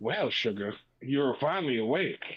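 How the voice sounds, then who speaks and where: A man does a put-on character voice at a medium pitch and moderate pace with lively intonation. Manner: seductive.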